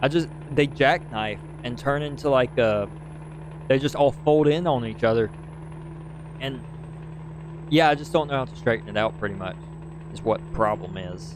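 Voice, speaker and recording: Through noticeable background noise, a man with a medium pitch speaks in an animated tone with lively intonation at a moderate pace, pausing long and often. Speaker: gaming streamer. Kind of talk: live gameplay commentary. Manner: casual, animated.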